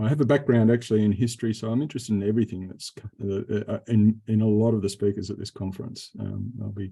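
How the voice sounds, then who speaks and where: A man speaks at a very fast pace with fairly even intonation. His voice sits fairly low, with a dark, mellow tone. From Melbourne, Australia. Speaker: conference presenter. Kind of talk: self-introduction. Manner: halting, many fillers.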